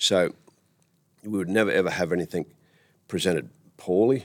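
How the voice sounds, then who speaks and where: The speaker has a rural Australian accent. The pace is fairly quick. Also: man. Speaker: tourism operator and cattle farmer. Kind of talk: interview. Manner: halting.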